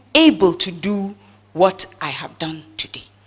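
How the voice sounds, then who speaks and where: Noticeable background noise sits behind a woman's medium-pitched voice. She speaks at a very slow pace. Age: 70s. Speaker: speaker on women's empowerment. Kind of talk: talk with slides at a round table.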